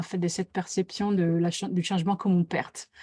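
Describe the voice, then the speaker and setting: A woman speaks in an Italian accent at a moderate pace. The recording is very clean with a silent background. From Italy. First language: Italian (speaking French). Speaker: facilitator and author. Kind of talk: live interview. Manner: hesitant, many fillers.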